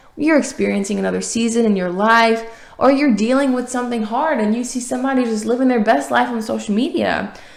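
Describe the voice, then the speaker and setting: A woman with an American accent speaks at a very fast pace, with audible room echo. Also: fairly high pitch for a woman, ordinary pitch variation. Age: 20s. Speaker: podcast host and author. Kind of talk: motivational podcast monologue. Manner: animated.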